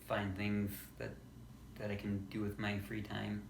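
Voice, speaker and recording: A man speaks at a moderate pace, somewhat breathy, with audible room echo. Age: 20s. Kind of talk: casual vlog monologue. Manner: halting, with pauses and repeats.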